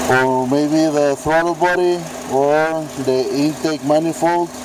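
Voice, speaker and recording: Over noticeable background noise, a man with a Mexican accent talks very slowly at a fairly high pitch, his intonation fairly even. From Mexico. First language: Spanish. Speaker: car owner seeking help. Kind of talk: amateur video demonstration. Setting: at a car, engine bay. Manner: halting, many fillers.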